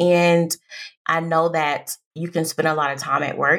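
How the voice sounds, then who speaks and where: At a fairly slow pace, a woman with a plain, everyday voice speaks in a fairly low pitch. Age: 30s. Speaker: career coach and podcast host. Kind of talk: casual solo podcast monologue. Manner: conversational, chatty.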